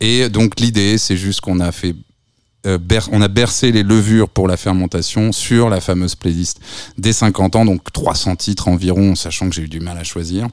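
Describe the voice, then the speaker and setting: Here is a man in a plain, everyday voice, fairly low in pitch. He talks at a fairly slow pace with fairly even intonation. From France, Reims. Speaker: festival director and programmer. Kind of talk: radio interview.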